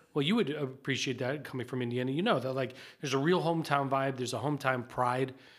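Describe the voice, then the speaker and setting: Speaking at a very fast pace, a man keeps his medium-pitched voice at fairly even intonation. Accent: American. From US Midwest, suburban Columbus, Ohio. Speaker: actor and comedian. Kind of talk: casual chat.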